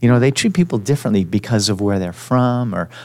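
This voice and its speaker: A man with a Canadian accent talks at a fairly quick pace in a plain, everyday voice, his intonation lively. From Quebec, Montreal. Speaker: podcast host. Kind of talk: casual interview. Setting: studio.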